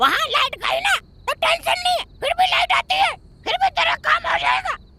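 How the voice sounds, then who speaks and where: The speaker uses a put-on character voice. The pitch is extremely high. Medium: comedy sketch. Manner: cheeky, street-smart.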